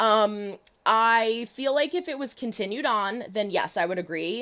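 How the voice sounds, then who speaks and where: On a very clean recording with a silent background, a woman with an American accent speaks at a fairly high pitch with lively intonation and an animated tone. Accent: New Jersey, stronger when talking fast. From New Jersey. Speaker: YouTube reaction streamer. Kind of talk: livestream chat, reading viewer comments. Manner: fast.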